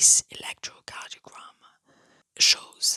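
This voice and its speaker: Whispering at a fairly slow pace, the speaker keeps a calm tone. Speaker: ASMR science educator. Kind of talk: educational ASMR lecture on heart physiology. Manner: soft-spoken, calm, relaxing.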